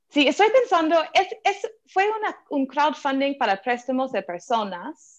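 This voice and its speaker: A woman with an American accent, a high pitch, very wide pitch swings and hardly any pauses. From US, Philadelphia. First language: English (speaking Spanish). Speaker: venture capital investor. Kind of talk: interview. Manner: halting, with fillers.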